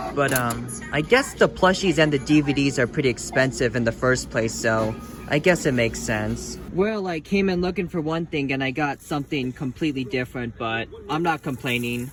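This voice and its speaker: Noticeable background noise behind a man's fairly high voice, moderate in pace and with ordinary pitch variation. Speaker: vlogger. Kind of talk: casual vlog narration. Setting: in a store.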